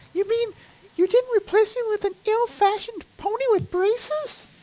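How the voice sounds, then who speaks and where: This female-sounding, put-on character voice is squeaky and extremely high in pitch, moving at a moderate pace. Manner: exaggerated, theatrical.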